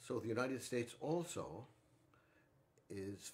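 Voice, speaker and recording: Using vocal fry, a man talks at a very slow pace while his pitch swings very widely. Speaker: musician hosting a livestream. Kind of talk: casual livestream talk. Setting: livestream. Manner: halting.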